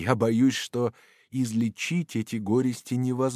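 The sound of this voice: Reading in an unforced voice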